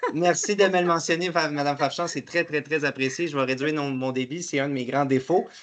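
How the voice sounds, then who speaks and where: A man with a Quebec accent talks at a fairly quick pace and fairly high pitch. His intonation is fairly even, with noticeable background noise behind him. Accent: Québécois French. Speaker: webinar host, payment company representative. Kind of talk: webinar presentation. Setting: online webinar. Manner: fast.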